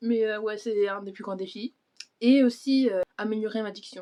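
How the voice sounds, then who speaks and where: Moving at a fairly quick pace, a woman's fairly high voice carries a dark, mellow tone and fairly even intonation. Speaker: book vlogger. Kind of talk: casual chat. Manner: fast; halting.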